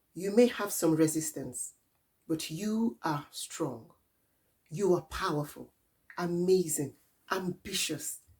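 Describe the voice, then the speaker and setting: Somewhat breathy and fairly low in pitch, a woman speaks at a very slow pace with ordinary pitch variation. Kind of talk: spoken word poetry.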